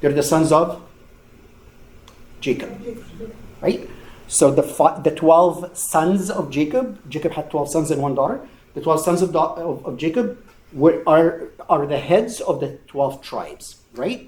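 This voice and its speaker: With audible room echo, a man talks at a fairly slow pace in a fairly high pitch, showing ordinary pitch variation and long, frequent pauses. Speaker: Bible study teacher. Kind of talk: lecture. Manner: loud.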